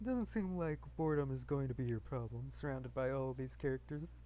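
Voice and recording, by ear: Someone is reading aloud. The voice stays natural throughout.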